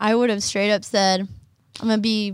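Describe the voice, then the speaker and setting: A woman with a normal speaking voice talks at a moderate pace in a fairly high pitch, on a very clean recording with a silent background. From Oklahoma. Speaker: college student athlete. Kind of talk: interview.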